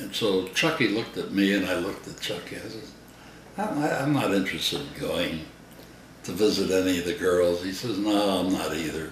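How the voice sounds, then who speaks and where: With an American accent, a man speaks at a moderate pace and a fairly low pitch, his intonation lively. Noticeable background noise runs underneath. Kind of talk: storytelling interview answer.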